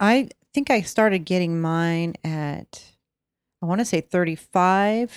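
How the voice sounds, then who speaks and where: A woman with an unremarkable speaking voice, fairly low in pitch and ordinary in pitch variation, comes through a dry, close sound with no echo. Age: 50s. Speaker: podcast co-host. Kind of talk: casual chat.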